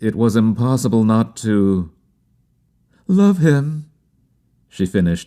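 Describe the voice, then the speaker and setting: At a fairly slow pace, a man speaks in a dark, mellow tone with ordinary pitch variation. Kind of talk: audiobook reading.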